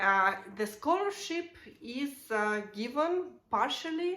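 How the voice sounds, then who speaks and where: With a Russian accent, a woman speaks in a bright, sharp tone with lively intonation and audible room echo. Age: 30s. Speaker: vlogger. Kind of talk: casual explainer vlog. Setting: at home. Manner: halting, many fillers.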